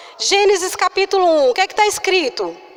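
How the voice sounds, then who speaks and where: The woman talks at a moderate pace, recorded dry and close with no echo. Noticeable background noise is present. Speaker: preacher. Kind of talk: sermon. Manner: soft-spoken.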